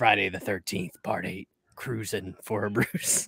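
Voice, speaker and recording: Putting on a character voice, a man talks at a moderate pace in a fairly low, raspy voice with fairly even intonation, the sound dry and close with no echo. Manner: dramatic.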